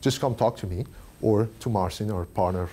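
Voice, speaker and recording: A man with a non-native accent speaks at a moderate pace, somewhat breathy. His tone is dark and mellow, with ordinary pitch variation. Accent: foreign. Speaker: tech industry speaker. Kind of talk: conference talk. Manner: halting, many fillers.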